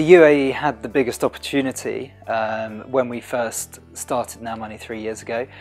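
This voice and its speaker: There is faint music in the background as a man speaks with fairly even intonation. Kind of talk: interview answer. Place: office.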